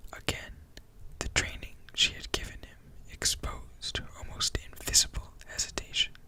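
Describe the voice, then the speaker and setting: Over noticeable background noise, the voice is whispering at a fairly slow pace. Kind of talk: audiobook reading. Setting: close-up microphone. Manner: whispered, soft-spoken.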